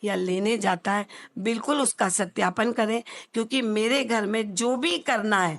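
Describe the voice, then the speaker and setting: A woman's normal speaking voice at a fairly high pitch, with ordinary pitch variation and a quiet background. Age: 60s. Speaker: social worker running an old age home. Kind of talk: interview. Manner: formal.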